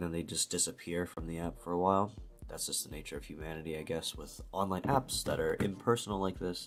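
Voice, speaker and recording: A man with an American accent speaks at a very fast pace with a very deep, low pitch and ordinary pitch variation. The recording is very clean, with a silent background. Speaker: language learner vlogger. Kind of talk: casual vlog talk. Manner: casual, hesitant with fillers.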